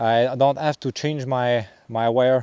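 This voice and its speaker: A man in a Quebec accent, medium-pitched with fairly even intonation, in a dry, close sound with no echo. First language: French. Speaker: trapper. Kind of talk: outdoor tutorial vlog. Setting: outdoors in the forest. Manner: halting, many fillers.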